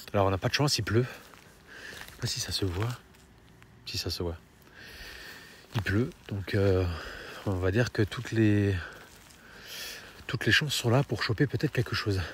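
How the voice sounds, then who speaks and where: Somewhat breathy, a man talks at a fairly slow pace and fairly low pitch, with ordinary pitch variation and long, frequent pauses. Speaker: paranormal investigator youtuber. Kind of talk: on-location vlog narration. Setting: outdoors at night in the rain. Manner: soft-spoken; hesitant, filler-heavy.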